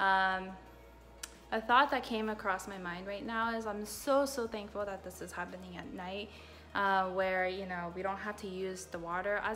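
The tone is bright and sharp, with ordinary pitch variation at a moderate pace over light background noise. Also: woman. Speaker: vlogger. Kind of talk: casual vlog chat. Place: home room. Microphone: phone near.

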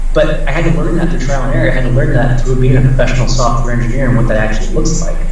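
In an American accent, a man talks very fast with hardly any pauses, amid noticeable background noise and strong room echo. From Iowa. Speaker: tech recruiter. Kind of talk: lecture. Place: office. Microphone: webcam.

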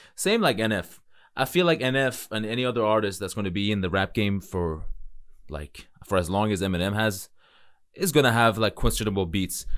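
A man with a fairly low pitch speaks at a moderate pace with ordinary pitch variation. The background is quiet. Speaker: music reaction streamer. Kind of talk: casual reaction commentary. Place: home room. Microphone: studio mic.

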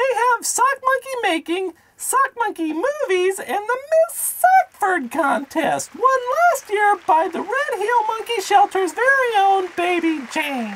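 This cartoonish character voice sits at an extremely high pitch and moves at a fairly slow pace. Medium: puppet. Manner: earnest, enthusiastic.

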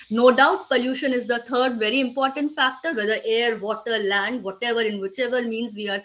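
A woman with a high pitch speaks in an Indian accent with ordinary pitch variation. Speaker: conservation speaker. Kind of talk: webinar presentation. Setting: video call. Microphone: webcam.

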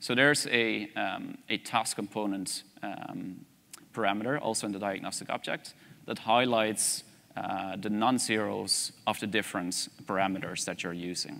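A man's fairly low voice in a Dutch accent, bright and sharp in tone, at a moderate pace with fairly even intonation. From Netherlands. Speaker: energy systems researcher; conference presenter. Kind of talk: conference presentation.

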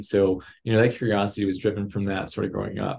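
Here a man talks very fast at a fairly low pitch. He has an American accent. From West Texas. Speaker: aerospace engineer and executive; guest. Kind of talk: interview. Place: home room. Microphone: video call.

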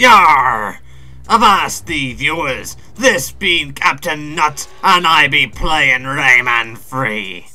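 A put-on character voice from a man, fairly high-pitched for a man and very slow. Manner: exaggerated, theatrical.

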